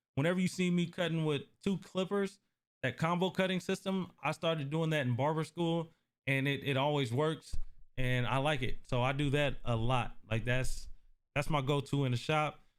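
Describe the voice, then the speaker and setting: In an ordinary speaking voice, a man with an American accent speaks at a moderate pace and fairly high pitch, with ordinary pitch variation and very even loudness, on a very clean recording with a silent background. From US Northwest (Portland, Oregon). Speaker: barber and barbershop owner. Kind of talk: live-stream Q&A. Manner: casual, conversational.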